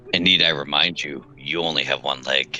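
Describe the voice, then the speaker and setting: Clear background noise sits behind a man doing a put-on character voice. It sounds raspy and moves at a moderate pace. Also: very deep, low pitch for a man, fairly even intonation. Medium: actual play. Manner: dry, sarcastic.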